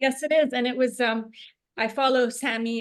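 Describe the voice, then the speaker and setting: A woman with an American accent against a quiet background. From United States. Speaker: cookalong participant. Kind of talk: casual chat. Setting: video call. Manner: halting, many fillers.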